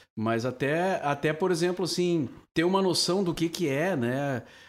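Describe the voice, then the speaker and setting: Over a silent background on a very clean recording, a man with an ordinary speaking voice talks at a fairly slow pace with lively intonation. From southern Brazil, Cachoeira do Sul (Rio Grande do Sul). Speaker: veteran radio broadcaster. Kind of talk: casual chat. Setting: drinking wine during recorded podcast.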